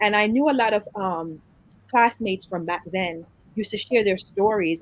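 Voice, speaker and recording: Speaking with an American accent, a woman uses ordinary pitch variation. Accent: full Jamaican accent, can switch to American. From Jamaica, Kingston. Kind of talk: interview.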